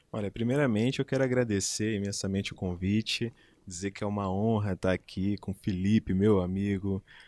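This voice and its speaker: With a Rio de Janeiro accent, a man speaks at a fairly quick pace in a fairly low pitch, his dark, mellow tone held in fairly even intonation. The recording is very clean with a silent background, the sound dry and close with no echo. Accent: Rio de Janeiro (carioca). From Rio de Janeiro, Brazil. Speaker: public attorney and law professor. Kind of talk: interview chat.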